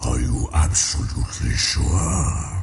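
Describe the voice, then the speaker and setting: A man puts on a character voice with a very deep, low pitch. He speaks at a fairly slow pace over clear background noise. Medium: machinima. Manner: condescending, sly.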